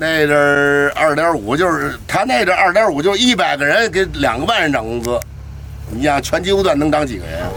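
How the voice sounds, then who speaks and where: A man talks with lively intonation and moderate speed while background noise is clearly audible. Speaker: retired steam locomotive driver. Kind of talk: oral history interview, reminiscing. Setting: outdoors beside a locomotive.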